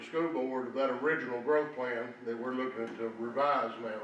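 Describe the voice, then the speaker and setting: Speaking at a fairly quick pace in a Tennessee accent, a man keeps his intonation fairly even amid audible room echo and noticeable background noise. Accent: US Southern (Tennessee). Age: 70s. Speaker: former county official, public commenter. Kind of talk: public comment at meeting. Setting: county meeting room.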